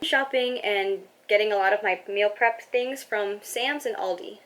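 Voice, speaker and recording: A woman with an American accent talks at a fairly high pitch. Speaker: personal finance vlogger. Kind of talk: casual vlog monologue. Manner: fast.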